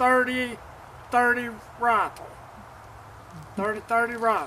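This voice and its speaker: Over noticeable background noise, a man with an Arkansas accent uses a raised, projected voice at a high pitch. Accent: US Southern (Arkansas). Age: 70s. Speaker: first-time deer hunter. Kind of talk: casual interview after hunt. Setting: outdoors. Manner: halting, many fillers.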